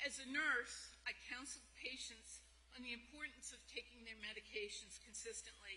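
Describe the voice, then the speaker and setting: The speaker talks at a moderate pace with big swings in loudness. Background noise is noticeable. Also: woman. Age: 70s. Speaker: retired nurse, patient speaker. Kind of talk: prepared speech.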